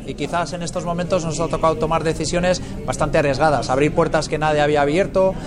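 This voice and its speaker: A very fast man's voice, fairly high in pitch with fairly even intonation, amid noticeable background noise and audible room echo. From Basque Country, Biscay (Muskiz, Encartaciones). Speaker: winemaker. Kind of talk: interview testimony.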